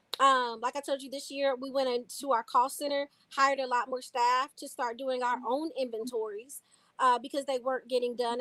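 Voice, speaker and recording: High and bright with a sharp tone, the woman's raised, projected voice moves at a fairly quick pace with fairly even intonation. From Louisville, Kentucky. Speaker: city council member. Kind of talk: interview.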